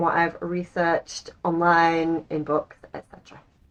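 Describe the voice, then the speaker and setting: At a moderate pace, a woman speaks in an English accent. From England. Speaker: lifestyle and language-learning vlogger. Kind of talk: casual vlog monologue.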